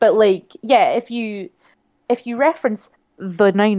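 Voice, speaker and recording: Her fairly high voice has a dark, mellow tone and lively intonation as this woman speaks at a very slow pace, the sound dry and close with no echo. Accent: British. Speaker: podcast co-host. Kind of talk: casual chat.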